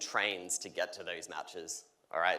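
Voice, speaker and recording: The speaker has an Australian accent and a bright, sharp tone. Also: man. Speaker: solutions architect. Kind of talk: conference keynote demo. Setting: stage with audience. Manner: energetic.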